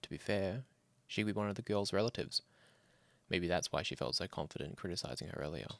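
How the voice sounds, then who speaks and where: A man talks very fast with a very deep, low pitch and vocal fry. The recording is very clean, with a silent background. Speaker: horror story narrator. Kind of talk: horror story reading.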